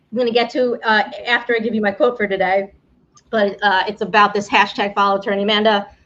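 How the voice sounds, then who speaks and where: A woman with a New York accent talks very fast at a medium pitch. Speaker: immigration attorney, game show host. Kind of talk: live-streamed game show. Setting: live stream from home, storm outside. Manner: casual, with filler words and restarts.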